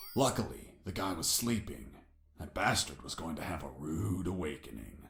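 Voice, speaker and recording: In a put-on character voice, a man speaks at a very deep, low pitch with very wide pitch swings. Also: moderate pace. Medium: video game. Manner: deadpan, sardonic.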